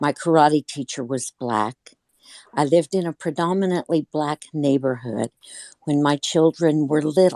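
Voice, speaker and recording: A woman speaks with a very deep, low pitch and ordinary pitch variation. The sound is dry and close, with no echo. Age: 60s. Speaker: audience participant. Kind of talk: personal testimony.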